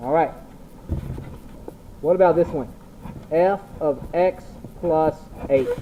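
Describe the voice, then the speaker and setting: Very slow pace with long, frequent pauses over noticeable background noise. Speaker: math teacher. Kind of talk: classroom lecture. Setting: large classroom without microphone. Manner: loud.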